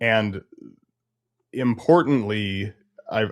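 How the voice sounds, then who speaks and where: This is a man speaking. His pitch is fairly low. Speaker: podcast host and therapist. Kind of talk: casual chat.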